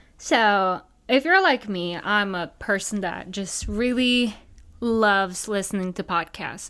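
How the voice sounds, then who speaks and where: In a very clean recording with a silent background, a woman speaks with a slight non-native accent. Her tone is animated and her pitch fairly high. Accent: slightly non-native English. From Norway. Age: 20s. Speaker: podcast host, wedding photographer. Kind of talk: casual solo podcast chat.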